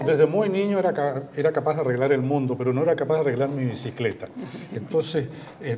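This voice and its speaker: Amid noticeable background noise, a man talks at a very fast pace, his fairly high pitch showing ordinary variation. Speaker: veteran news presenter and radio host. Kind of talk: interview answer.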